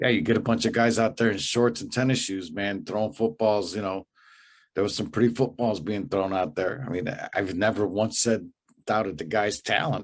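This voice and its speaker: An unremarkable speaking voice with an American accent, moderate pace and ordinary pitch variation against a quiet background. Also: man, fairly low pitch for a man. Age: 60s. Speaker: sports podcast co-host. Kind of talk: casual sports chat.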